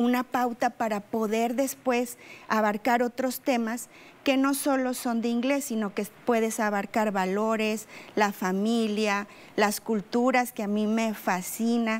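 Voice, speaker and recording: A woman with a plain, everyday voice, a fairly high pitch, fairly even intonation and a fairly slow pace. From Coahuila, Mexico. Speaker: English teacher. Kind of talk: interview. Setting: studio. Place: studio. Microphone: lapel.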